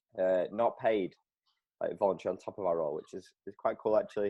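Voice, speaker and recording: A man speaks with a Lancashire accent. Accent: northern English (Lancashire). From northern England, Preston. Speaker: volunteer youth pastor. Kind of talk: casual chat.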